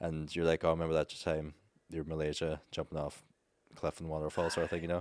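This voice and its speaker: A man with a very deep, low pitch and an Irish accent talks at a very fast pace in a monotone, flat intonation. The recording is very clean with a silent background, and the sound is dry and close with no echo. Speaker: travel content creator. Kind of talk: casual chat. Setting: studio.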